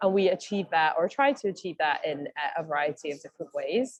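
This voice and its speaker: With a Scottish accent, a woman speaks at a moderate pace in a fairly low voice with lively intonation. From Scotland. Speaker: mental health advocacy advisor. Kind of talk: online meeting presentation. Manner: hesitant, many fillers.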